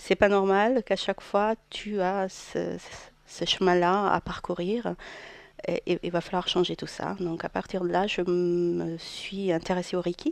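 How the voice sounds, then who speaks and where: In a slight Portuguese accent, the speaker talks very slowly in a flat monotone. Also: woman, medium pitch for a woman. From Portugal. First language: Portuguese (speaking French). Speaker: therapist. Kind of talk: radio interview.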